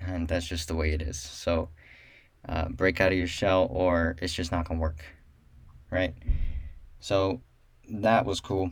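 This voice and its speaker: Speaking at a fairly slow pace with long, frequent pauses, a man uses a very deep, low pitch that is somewhat breathy, with fairly even intonation. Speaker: solo podcast host and realtor. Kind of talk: solo podcast monologue. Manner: monotone; halting, many fillers.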